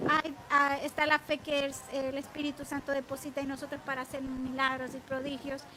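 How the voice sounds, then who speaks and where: A woman with a high pitch speaks in a raised, projected voice at a moderate pace. Her intonation stays monotone and flat over noticeable background noise. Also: hardly any pauses. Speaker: women's ministry Bible teacher. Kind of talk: online Bible teaching program.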